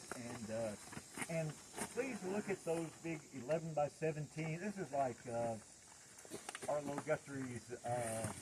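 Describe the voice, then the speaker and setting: With an American accent, a man speaks at a fairly high pitch and ordinary pitch variation. Noticeable background noise is present. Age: 70s. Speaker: environmental activist and hike leader. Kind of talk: outdoor group address. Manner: halting.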